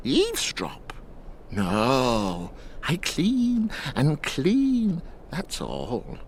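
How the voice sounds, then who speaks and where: Cackling in a put-on character voice, a man speaks very slowly with long, frequent pauses over clear background noise. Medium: video game. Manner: cackling, cryptic, evasive.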